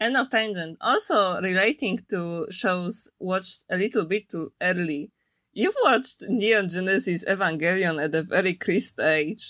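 With a Polish accent, a woman speaks fairly slowly at a medium pitch with ordinary variation, over a quiet background. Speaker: podcast co-host. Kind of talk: casual chat.

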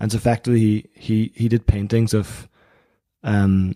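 A man's fairly low voice in a Northern Irish accent, with a dark, mellow tone and monotone, flat intonation, in a dry, close sound with no echo. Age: 20s. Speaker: magazine editor and accountant. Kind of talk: interview conversation.

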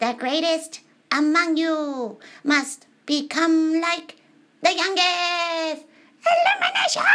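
In a put-on character voice with an extremely high pitch, a woman speaks at a very slow pace with long, frequent pauses.

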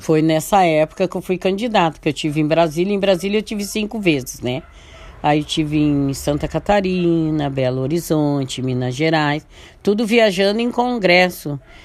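Lively intonation in an ordinary speaking voice, delivered at a moderate pace. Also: woman, fairly low pitch for a woman. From southern Brazil, Santo Antônio da Patrulha area. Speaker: community leader. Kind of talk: radio interview, life story.

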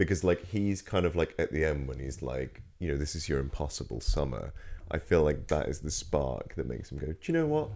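Speaking at a fairly quick pace, a man with a Norfolk accent uses a very deep, low pitch with vocal fry and ordinary pitch variation. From Norfolk, England. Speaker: film and TV review podcast co-host. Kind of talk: casual chat.

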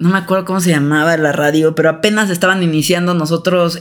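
Her voice is a normal speaking voice, fairly low in pitch for a woman, with fairly even intonation. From Mexico City. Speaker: podcast co-host. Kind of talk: casual chat.

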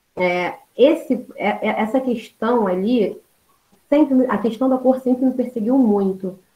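Very slowly, a woman speaks in a high, dark and mellow voice with ordinary pitch variation. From Baixada Fluminense, Rio de Janeiro, Brazil. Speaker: history teacher. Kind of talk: podcast interview.

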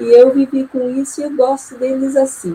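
A woman talks fairly slowly, with noticeable background noise present throughout. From Maringá, Paraná, Brazil. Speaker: visiting professor of education. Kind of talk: panel discussion.

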